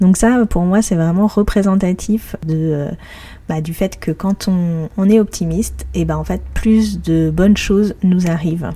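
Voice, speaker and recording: Over noticeable background noise, a cheerful tone comes through at a very slow pace with fairly even intonation. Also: woman, fairly low pitch for a woman. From Paris, France. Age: 30s. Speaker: podcast host and blogger. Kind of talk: solo podcast monologue. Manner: cheerful, laughs often.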